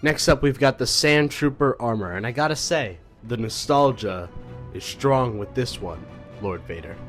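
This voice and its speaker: Music plays in the background as a man at medium pitch talks at a fairly slow pace. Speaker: YouTube commentator. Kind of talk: casual talk to camera.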